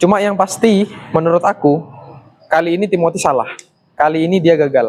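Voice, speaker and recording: At a fairly quick pace, a man talks in a high pitch with fairly even intonation. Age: 20s. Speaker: vlogger, university student. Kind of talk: monologue vlog to camera. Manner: casual, conversational.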